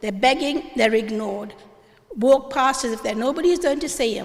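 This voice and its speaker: Audible room echo surrounds a woman speaking at a moderate pace with lively intonation. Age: 70s. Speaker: audience member at public debate. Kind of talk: public town meeting comment. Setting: church hall with audience. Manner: animated.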